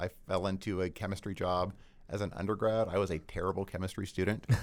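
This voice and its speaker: A man with an American accent and a fairly low pitch speaks at a fairly quick pace in a plain, everyday voice, on a very clean recording with a silent background. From US South (Georgia). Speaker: brewery taproom manager. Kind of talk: casual interview chat.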